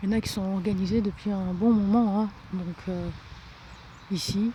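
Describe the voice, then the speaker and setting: A soft-spoken woman with a medium pitch talks at a moderate pace in a monotone, flat intonation. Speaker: vlogger. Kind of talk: walking vlog. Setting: outdoors. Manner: halting.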